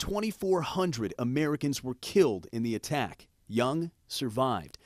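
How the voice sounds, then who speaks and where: A man with an unremarkable speaking voice, a fairly high pitch, lively intonation and a moderate pace, in a dry, close sound with no echo. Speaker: TV news reporter. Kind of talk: TV news report narration.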